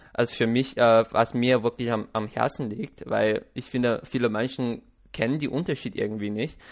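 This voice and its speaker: Here a man speaks at a medium pitch and a moderate pace. His intonation is fairly even, and the background is quiet. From China. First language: Chinese (speaking German). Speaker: podcast host. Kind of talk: casual interview. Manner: halting.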